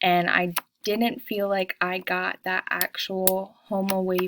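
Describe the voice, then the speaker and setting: Very slow speech from a woman at medium pitch with a Pennsylvania accent, dry and close with no echo. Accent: Pennsylvania American. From Pennsylvania (Montoursville, near Williamsport). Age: 20s. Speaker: student. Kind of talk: self-introduction video. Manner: casual, many filler ums.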